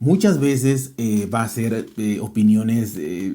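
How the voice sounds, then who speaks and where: A man with a Mexican accent speaks at a fairly slow pace in a medium-pitched voice with a dark, mellow tone and ordinary pitch variation. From Mexico. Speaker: tech podcaster. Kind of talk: interview. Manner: hesitant, many fillers.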